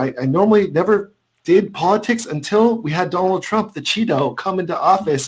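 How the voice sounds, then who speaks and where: A man with an American accent, high-pitched, at a fairly quick pace. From California. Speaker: food and travel video creator. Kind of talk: casual livestream chat.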